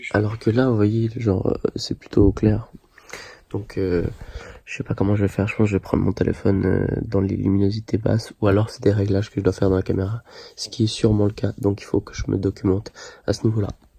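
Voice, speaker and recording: The voice is dark and mellow, somewhat breathy, and monotone and flat in intonation, moving at a fairly quick pace. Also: man, fairly low pitch for a man. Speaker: vlogger. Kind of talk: vlog. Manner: whispering.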